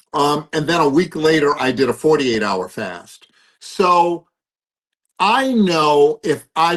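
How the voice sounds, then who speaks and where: A man with an American accent and a normal speaking voice, fairly high in pitch, with lively intonation. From US East Coast. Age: 60s. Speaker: philanthropist and addiction recovery coach. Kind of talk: interview.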